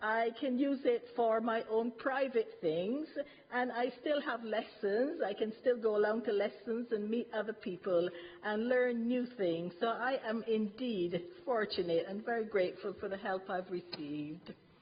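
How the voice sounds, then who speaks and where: Speaking at a fairly slow pace, a woman with a fairly high pitch and ordinary pitch variation has an unremarkable speaking voice. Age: 60s. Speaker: retired health visitor, resident speaker. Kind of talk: prepared testimony at council meeting. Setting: council cabinet meeting. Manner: formal.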